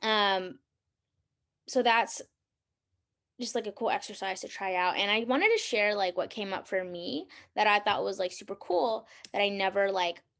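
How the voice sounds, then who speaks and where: Over a quiet background, the voice moves at a moderate pace with fairly even intonation and long, frequent pauses. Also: woman, medium pitch for a woman. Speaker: podcast host. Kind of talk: solo podcast talk. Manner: casual, many fillers; loud.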